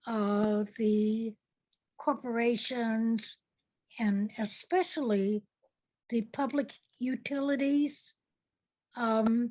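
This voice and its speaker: A woman with a fairly high pitch and a dark, mellow tone speaks at a very slow pace. Her pitch variation is ordinary, and her pauses are long and frequent. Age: 80s+. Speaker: public relations entrepreneur. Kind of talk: interview. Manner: halting, many fillers.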